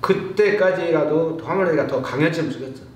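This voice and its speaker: A man speaks in a space with audible room echo, with noticeable background noise behind him. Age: 70s. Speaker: truck driver and union veteran. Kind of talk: panel discussion. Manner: casual, conversational.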